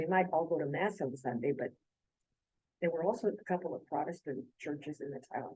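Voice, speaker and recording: A woman with a South Texas accent speaks with lively intonation at a very deep, low pitch, her tone dark and mellow. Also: fairly quick pace. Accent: South Texas American English. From South Texas (San Diego, Texas). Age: 80s+. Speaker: church study group participant. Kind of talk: casual group discussion. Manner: halting.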